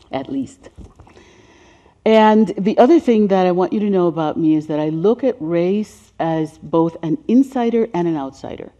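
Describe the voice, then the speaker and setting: Speaking in a Spanish accent, a woman uses a dark, mellow tone. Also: lively intonation, moderate pace. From Caribbean, then New York City from age ten. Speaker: race healing educator and speaker. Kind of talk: presentation with slides. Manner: conversational with fillers.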